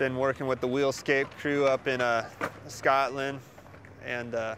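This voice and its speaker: A man with an American accent at a medium pitch, monotone and flat, at a fairly slow pace over noticeable background noise. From US, Oregon. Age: 30s. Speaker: skatepark designer and builder. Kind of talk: interview answers. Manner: casual, halting with repetitions.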